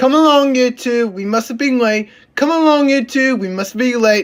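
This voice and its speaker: In a put-on character voice, the speaker talks at a fairly high pitch and a moderate pace. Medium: read story.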